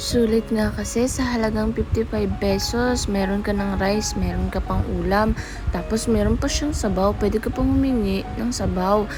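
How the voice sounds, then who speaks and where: Amid noticeable background noise and audible room echo, a woman speaks at a moderate pace with very even loudness and hardly any pauses. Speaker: food vlogger. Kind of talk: casual vlog. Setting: outdoors at night.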